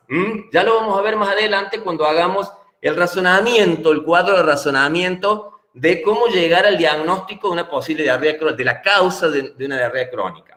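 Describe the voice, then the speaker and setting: A man with ordinary pitch variation, in audible room echo. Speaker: pediatrics lecturer, physician. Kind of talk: lecture. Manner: hesitant, many fillers.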